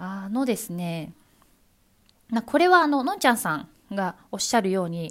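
A woman speaks at a moderate pace with a fairly high pitch and very wide pitch swings. The recording is very clean with a silent background. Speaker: podcaster, former announcer. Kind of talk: solo talk answering listener questions.

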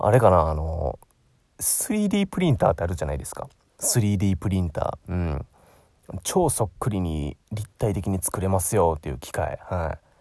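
A man speaks with a Kansai accent in a very deep, low voice of dark, mellow tone. His pitch varies in an ordinary way, and his pace is moderate. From Osaka, Japan. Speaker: aspiring narrator, podcast host. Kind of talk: solo casual monologue. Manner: chatty, filler-heavy.

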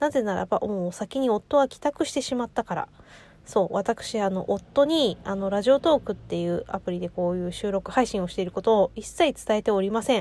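A woman at medium pitch, fairly quick pace and lively intonation, with big swings in loudness, on a very clean recording with a silent background and a dry, close sound with no echo. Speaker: podcaster. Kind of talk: casual monologue. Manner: often stumbles over words.

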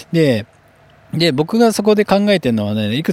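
A man is speaking. His intonation is lively. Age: 30s. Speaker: hairdresser and podcast host. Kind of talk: solo business talk podcast. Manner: casual with many filler words.

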